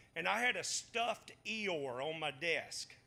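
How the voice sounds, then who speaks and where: A man with a Southern accent uses a raised, projected voice with a bright, sharp tone. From US South, Batesville, Mississippi. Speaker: Bible study teacher. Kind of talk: Bible study lesson.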